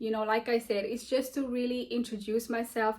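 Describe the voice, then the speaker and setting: With fairly even intonation and a fairly high pitch, a woman talks while noticeable background noise carries on. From South Africa. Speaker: beauty vlogger and podcast host. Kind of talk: casual get-to-know-me vlog. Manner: conversational, unscripted with fillers.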